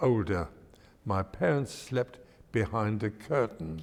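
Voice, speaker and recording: Very slowly, a man speaks with a London accent at a medium pitch. His intonation is lively. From East End of London, England. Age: 90s. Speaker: elderly interviewee recounting his life. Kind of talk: oral history interview. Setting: synagogue.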